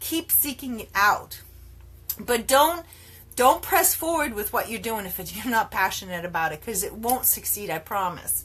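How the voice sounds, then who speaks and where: A woman with a fairly high, bright, sharp voice talks at a moderate pace in an animated tone, with very wide pitch swings and big swings in loudness. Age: 50s. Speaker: network marketer and health coach. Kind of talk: live video talk to followers.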